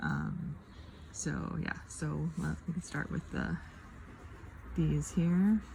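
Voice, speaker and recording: Very slow speech from a woman, broken by long, frequent pauses, with noticeable background noise. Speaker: craft video creator. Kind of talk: casual craft tutorial chat. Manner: hesitant, many fillers.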